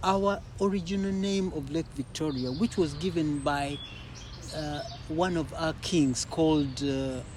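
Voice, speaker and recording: Speech at a fairly slow pace comes through over noticeable background noise. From Uganda. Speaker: poet. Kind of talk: interview conversation. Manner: halting, many repetitions.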